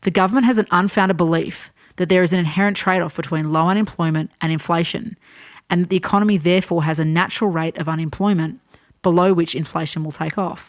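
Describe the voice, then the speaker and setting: A woman's fairly low voice at a very fast pace. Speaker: voice-over artist. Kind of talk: educational explainer narration.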